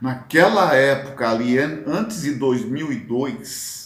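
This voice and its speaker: Lively in intonation, a man talks very slowly. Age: 60s. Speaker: football fan commentator, vlogger. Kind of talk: casual monologue, football commentary. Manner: hesitant, with fillers and restarts.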